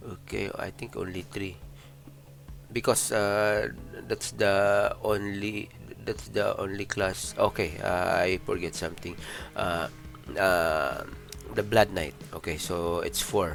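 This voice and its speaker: Over background music, a man with a non-native accent speaks very slowly at a fairly low pitch with ordinary pitch variation and long, frequent pauses. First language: not English. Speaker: gaming video creator. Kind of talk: gameplay commentary. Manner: halting, many fillers.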